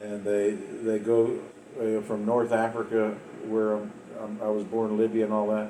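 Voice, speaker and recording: This man talks at a fairly slow pace in a fairly low pitch, with an Appalachian accent. Audible room echo surrounds his voice. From West Virginia. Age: 60s. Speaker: storyteller recounting his life. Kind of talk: personal life story monologue. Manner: halting, many repeats and fillers.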